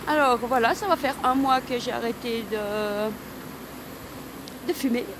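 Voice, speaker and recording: A woman with a high-pitched voice speaks very slowly with ordinary pitch variation over noticeable background noise. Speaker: wellness vlogger. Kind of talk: personal testimony vlog.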